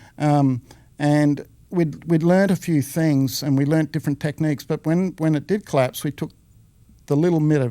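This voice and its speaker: In an Australian accent, a man with a fairly high pitch speaks in a dark, mellow tone with fairly even intonation, on a very clean recording with a silent background. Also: very even loudness. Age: 60s. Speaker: former business owner, real estate veteran. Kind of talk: casual interview. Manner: halting, with fillers.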